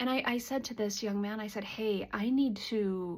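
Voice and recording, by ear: A woman with a fairly high pitch and a slightly mellow tone speaks with vocal fry and ordinary pitch variation.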